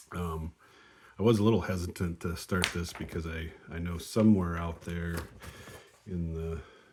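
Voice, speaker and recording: Long, frequent pauses break up a man's moderate-paced speech, delivered in a monotone, flat intonation. His voice is somewhat breathy and his pitch very deep and low. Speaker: board wargame player. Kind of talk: casual tutorial. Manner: halting, many fillers.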